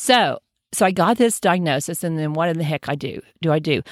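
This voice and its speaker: A woman with an unremarkable speaking voice, fairly low in pitch, with ordinary pitch variation and a moderate pace, in a very clean recording with a silent background. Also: dry, close sound with no echo. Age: 60s. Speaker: podcast host, doctor. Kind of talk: solo health podcast monologue.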